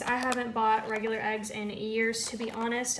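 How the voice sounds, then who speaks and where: Noticeable background noise runs beneath a woman speaking at a moderate pace. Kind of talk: casual vlog chat. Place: kitchen. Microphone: phone near.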